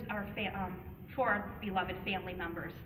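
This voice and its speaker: A woman talks with an American accent. Noticeable background noise and audible room echo are present. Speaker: parent advocate. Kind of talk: public speech. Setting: public meeting at a podium. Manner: fast.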